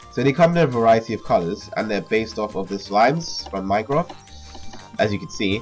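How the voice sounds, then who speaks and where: Against music in the background, the speaker moves at a fairly quick pace with very wide pitch swings. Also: man. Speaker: gamer showcasing mods. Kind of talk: casual game commentary. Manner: casual, hesitant with fillers.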